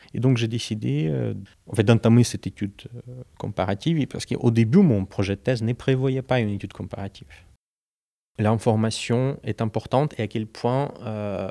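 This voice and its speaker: A man's fairly low, dark and mellow voice at a fairly slow pace, with ordinary pitch variation, dry and close with no echo, on a very clean recording against a silent background. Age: 30s. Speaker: PhD student and security researcher. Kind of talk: interview. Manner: halting, many hesitations and repetitions.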